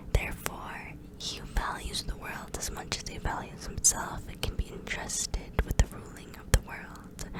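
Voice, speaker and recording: Whispering is heard over noticeable background noise. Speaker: ASMR creator. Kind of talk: reading aloud. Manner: slow.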